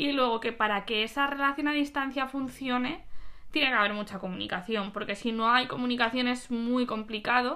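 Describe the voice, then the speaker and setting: A woman with a high pitch talks fairly quickly, her pitch varying in an ordinary way. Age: 20s. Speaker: host's best friend. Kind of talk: casual chat. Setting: recording at home together.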